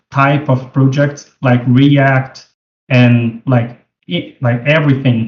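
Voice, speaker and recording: A man with a non-native accent speaks fairly slowly and somewhat breathily. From Brazil. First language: Portuguese. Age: 40s. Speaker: 3D web developer. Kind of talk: tutorial. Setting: video call. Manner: casual, halting with fillers.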